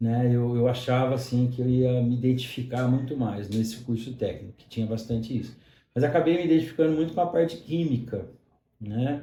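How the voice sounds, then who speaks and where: A man speaks at a fairly quick pace with a dark, mellow tone and a somewhat breathy quality. His loudness swings widely, and the room echo is audible. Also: medium pitch for a man, ordinary pitch variation. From Brazil, São Paulo state near Minas Gerais (Mococa). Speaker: pharmacist and university lecturer. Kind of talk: interview conversation. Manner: frequent fillers (né, é).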